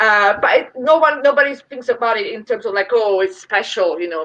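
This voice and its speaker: With an Italian accent, a woman speaks fairly quickly at a fairly high pitch, her intonation lively. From Italy. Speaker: brewery representative. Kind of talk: interview.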